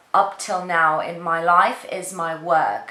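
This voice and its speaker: A woman speaks at a very slow pace. Noticeable background noise and audible room echo fill the recording. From Portugal. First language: Portuguese. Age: 30s. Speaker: beauty YouTuber and actress. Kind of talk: casual chat. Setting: home spare room, camera on tripod. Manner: rambling, halting.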